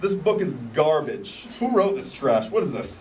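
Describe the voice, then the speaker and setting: A man does a put-on character voice, gruff and high-pitched, with lively intonation. He keeps a moderate pace, and clear background noise runs underneath. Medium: machinima. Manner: gruff, impatient, sarcastic.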